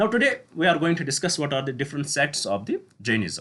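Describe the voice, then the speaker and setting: This man's fairly high voice swings very widely in pitch and carries vocal fry. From Kashmir, North India. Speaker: teacher. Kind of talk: lecture. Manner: halting, with self-corrections.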